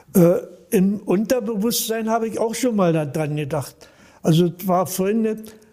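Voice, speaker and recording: A man is speaking at a moderate pace. His pitch is high. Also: ordinary pitch variation. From Berlin. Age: 80s+. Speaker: volunteer paramedic. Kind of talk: interview. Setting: on location, not studio.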